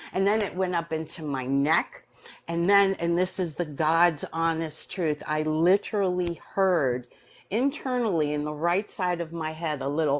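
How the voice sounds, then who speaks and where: With a New York accent, a woman speaks at a fairly low pitch with ordinary pitch variation against a quiet background. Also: fairly slow pace. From US Northeast, New York City. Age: 60s. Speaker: near-death experiencer. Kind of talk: personal testimony in live stream interview.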